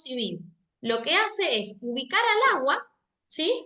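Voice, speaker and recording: Bright, sharp tone in a woman's raised, projected voice. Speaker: legal department staff giving training. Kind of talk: training lecture. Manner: hesitant, repeats words.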